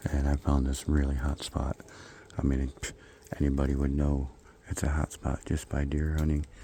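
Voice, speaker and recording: Against noticeable background noise, a man with a very deep, low pitch speaks at a moderate pace, with long, frequent pauses. His intonation is monotone and flat, and his loudness very even. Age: 60s. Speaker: hunting vlogger. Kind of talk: outdoor vlog narration. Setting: outdoors in woods. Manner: casual, conversational.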